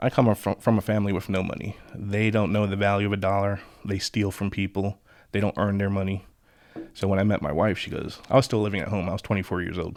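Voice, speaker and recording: A man with a New York accent speaks at a very fast pace, fairly low in pitch and monotone, in a very clean recording with a silent background. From Long Island, New York. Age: 30s. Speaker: locksmith. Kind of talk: casual chat.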